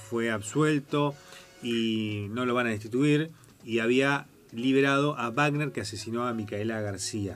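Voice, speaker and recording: The man speaks at a very slow pace. There is noticeable background noise. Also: medium pitch for a man, ordinary pitch variation. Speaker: lawyer, radio show guest. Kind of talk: radio talk show, legal commentary.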